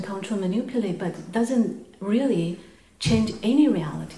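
A woman's fairly high voice in a Chinese accent, fairly slow, with ordinary pitch variation. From China. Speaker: audience member. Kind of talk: question to teacher.

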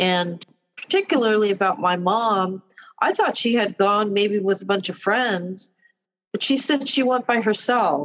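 This woman has an ordinary speaking voice at medium pitch. She talks at a fairly slow pace with ordinary pitch variation. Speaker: daughter of veteran. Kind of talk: casual interview.

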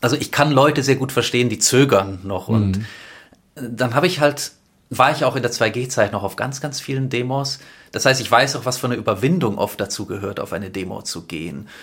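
The man's pitch is medium and varies in an ordinary way. He has a plain, everyday voice and keeps a fairly quick pace. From Stuttgart, Germany. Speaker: film director and activist. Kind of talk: casual interview.

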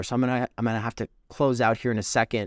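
A man speaks in an energetic tone, recorded very cleanly with a silent background and a dry, close sound with no echo. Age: 30s. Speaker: podcast host and streamer. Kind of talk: live stream update. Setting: live stream. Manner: casual, energetic.

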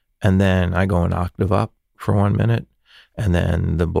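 With an American accent, a man speaks at a very deep, low pitch in a dark, mellow tone with vocal fry, at a moderate pace and with ordinary pitch variation. The recording is very clean with a silent background and a dry, close sound with no echo. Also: very even loudness. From Los Angeles, US. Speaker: session saxophonist. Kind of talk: casual chat.

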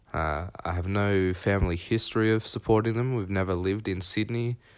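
A man speaks with an Australian accent at a fairly low pitch and a moderate pace. His intonation is fairly even, and the recording is very clean with a silent background. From Victoria, Australia (Horsham). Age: young. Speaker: football fan. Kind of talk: recorded voice memo.

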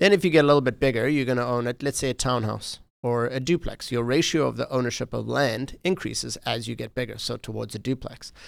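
A man with a South African accent speaks at a very fast pace with vocal fry, in a very clean recording with a silent background. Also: medium pitch for a man, ordinary pitch variation. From South Africa, Johannesburg. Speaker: realtor. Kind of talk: casual interview.

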